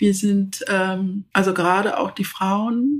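Medium pitch and ordinary pitch variation in a woman's speech. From Zambia, rural village until age 10, then Berlin. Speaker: leadership expert and project management director. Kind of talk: interview. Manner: hesitant, with many fillers.

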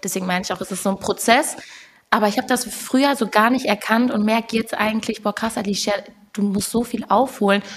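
Against noticeable background noise, a woman with a fairly high pitch speaks at a fairly quick pace and with fairly even intonation. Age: 20s. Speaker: musician. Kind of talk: casual chat.

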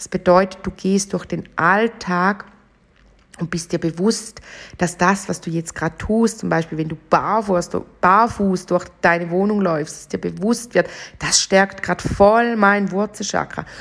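A woman's medium-pitched voice moves fairly slowly, keeping its intonation fairly even. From Switzerland, St. Gallen. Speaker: podcast host, chakra coach. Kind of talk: casual monologue.

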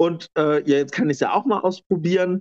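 Recorded with a dry, close sound and no echo, a man with a high pitch speaks at a moderate pace. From eastern Germany, Lower Lusatia (Brandenburg). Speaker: interviewee, former dance teacher. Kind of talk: interview, personal life story.

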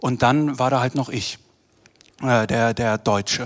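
A man with a plain, everyday voice speaks at a fairly slow pace with fairly even intonation. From Germany, Düsseldorf. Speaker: theatre director. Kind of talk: panel discussion. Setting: stage with live audience.

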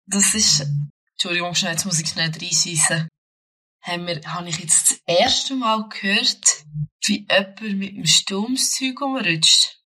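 Her pitch is medium for a woman, and she speaks at a fairly slow pace. Long, frequent pauses break up her speech. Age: 20s. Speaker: podcast co-host. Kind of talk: casual chat.

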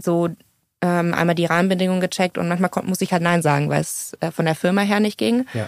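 In a normal speaking voice, a woman with a fairly low pitch and ordinary pitch variation talks at a fairly quick pace, her loudness very even. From Munich, Bavaria. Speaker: social entrepreneur. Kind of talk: interview. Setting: studio.

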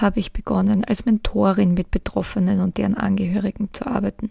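A woman speaks at a moderate pace and medium pitch, her dark, mellow tone carrying vocal fry and fairly even intonation. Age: 40s. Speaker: podcast host, psychotherapist in training. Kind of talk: solo podcast monologue.

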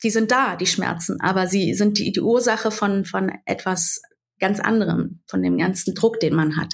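Her voice sits at a medium pitch, with vocal fry and very even loudness throughout, a woman speaking. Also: ordinary pitch variation, moderate pace. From Berlin, Germany. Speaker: social media creator and mother. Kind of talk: interview.

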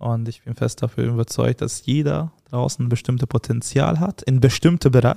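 With a Hungarian accent, a man speaks at a moderate pace and medium pitch, somewhat breathy and dark and mellow in tone, with ordinary pitch variation, hardly any pauses, and a dry, close sound with no echo. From Hungary. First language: Hungarian (speaking German). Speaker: agency founder and CEO. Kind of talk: casual interview.

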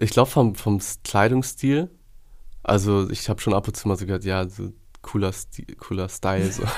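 Using a fairly low pitch with ordinary variation, a man speaks at a moderate pace with long, frequent pauses. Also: very clean recording, silent background. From Hamburg, northern Germany. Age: 30s. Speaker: entrepreneur building a care service. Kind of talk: casual interview conversation.

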